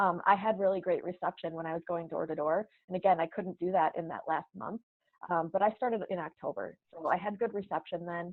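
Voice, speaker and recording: With an American accent, a woman in an unremarkable speaking voice talks at a fairly quick pace and medium pitch, her intonation fairly even. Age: young. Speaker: politician, mayor-elect. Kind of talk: interview.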